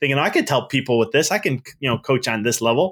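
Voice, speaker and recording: A man talks in an ordinary speaking voice with an American accent, at a fairly quick pace. His pitch varies in an ordinary way, and the recording is very clean with a silent background. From Chicago area, Melrose Park. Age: 30s. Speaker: business mindset coach and chiropractor. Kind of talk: casual interview.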